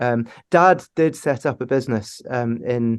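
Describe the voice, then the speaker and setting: A Scottish accent with ordinary pitch variation, set against a quiet background. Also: man. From Scotland, Aberdeen. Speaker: company founder and CEO. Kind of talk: podcast interview. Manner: hesitant, many fillers.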